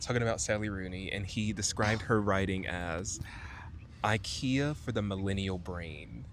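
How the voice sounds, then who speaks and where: A man speaks quietly at a moderate pace in a fairly low pitch with ordinary pitch variation, and audible room echo surrounds his voice. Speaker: podcast co-host. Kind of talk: casual book discussion. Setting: outdoors in a park. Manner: speaking quietly.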